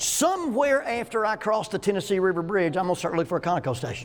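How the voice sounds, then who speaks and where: Talking at a very fast pace, a man with a Southern US accent uses a high pitch and very wide pitch swings. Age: 60s. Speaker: minister and psychology counselor teaching a class. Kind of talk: lecture. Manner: conversational, humorous.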